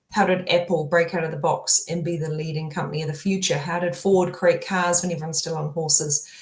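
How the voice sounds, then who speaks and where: A woman talks at a very fast pace with hardly any pauses, in a fairly low pitch with monotone, flat intonation. Audible room echo and noticeable background noise surround her. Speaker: tech founder. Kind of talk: interview conversation.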